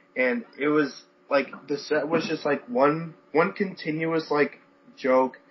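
A man speaks with a fairly high pitch and ordinary pitch variation. He has a plain, everyday voice. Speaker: podcast co-host. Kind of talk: casual chat.

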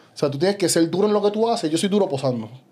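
The man speaks with lively intonation. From Puerto Rico. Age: 30s. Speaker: bodybuilder. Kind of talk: casual chat.

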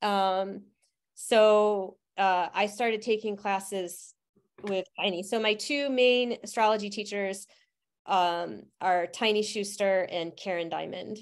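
A woman speaks very slowly in an American accent at a medium pitch. Her intonation stays fairly even. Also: quiet background. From Utica, central New York. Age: 50s. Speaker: herbalist and astrologer. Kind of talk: interview.

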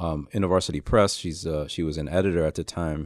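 On a very clean recording with a silent background, a man with a New York accent speaks at a very deep, low pitch with fairly even intonation. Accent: New York City. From New York City, Lower East Side of Manhattan. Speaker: author and pastor. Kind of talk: interview.

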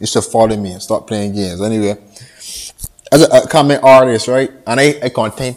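A man talks at a fairly quick pace with an animated tone. He speaks with a Barbadian accent. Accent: Barbadian (Bajan) Caribbean English. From Barbados. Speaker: upcoming musician giving motivational talk. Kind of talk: motivational monologue.

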